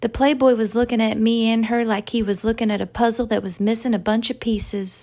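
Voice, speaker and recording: In a Southern US accent, a woman with a fairly high pitch and a dark, mellow tone speaks at a moderate pace in a flat monotone. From Arkansas, US South. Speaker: author reading her own story. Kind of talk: literary audiobook reading of a first-person story.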